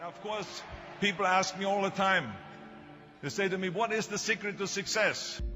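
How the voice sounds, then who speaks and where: With an Austrian accent, a man with a high pitch speaks in a raised, projected voice at a moderate pace, his intonation monotone and flat, with long, frequent pauses and music in the background. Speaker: actor. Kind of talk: motivational speech.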